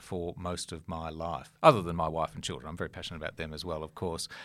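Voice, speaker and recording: A very clean recording with a silent background captures a man talking. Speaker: former diplomat. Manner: hesitant, many filler words.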